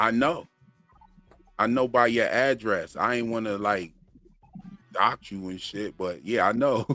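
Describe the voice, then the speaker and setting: Music plays behind a relaxed voice with ordinary pitch variation. The pace is fairly slow, broken by long, frequent pauses. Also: man, medium pitch for a man. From Florida (Sanford), moved from Pennsylvania around age ten. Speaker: channel host and music producer. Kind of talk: casual chat on a live stream. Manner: relaxed, slangy.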